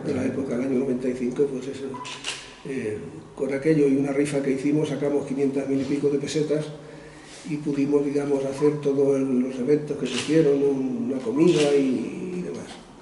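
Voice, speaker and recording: Amid noticeable background noise, a man with a fairly high pitch talks at a fairly quick pace with fairly even intonation. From Spain, Extremadura (Garrovillas). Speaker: author and former UNESCO administrator. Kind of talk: interview answer.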